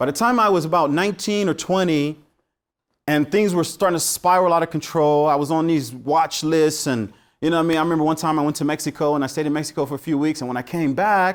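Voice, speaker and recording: An animated man with an American accent, fairly high pitch, ordinary pitch variation and a very fast pace, in a very clean recording with a silent background. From US West Coast, Los Angeles. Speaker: teacher. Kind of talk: lecture.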